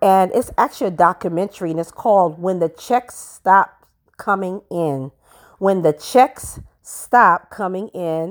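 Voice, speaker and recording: At a fairly slow pace, a woman speaks at medium pitch with ordinary pitch variation, the sound dry, close and echo-free on a very clean recording over a silent background. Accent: New York. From Brooklyn, New York. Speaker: podcast host. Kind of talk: solo podcast monologue. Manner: conversational, laughing.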